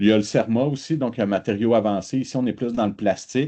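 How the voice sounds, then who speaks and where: This man keeps a moderate pace, and his pitch varies in an ordinary way. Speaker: research institute representative. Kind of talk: online presentation pitch. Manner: hesitant, many filler sounds.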